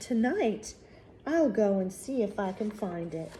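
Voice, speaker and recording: A woman puts on a character voice at a medium pitch and a fairly slow pace. Background noise is clearly audible. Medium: read story. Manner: wondering, earnest.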